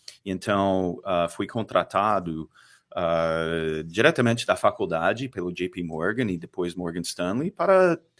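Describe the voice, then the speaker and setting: In a strong Texan accent, a man speaks with a very deep, low voice on a very clean recording with a silent background. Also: ordinary pitch variation, fairly slow pace. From Texas. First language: English (speaking Portuguese). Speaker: fund manager. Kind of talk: podcast interview. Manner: halting, many fillers.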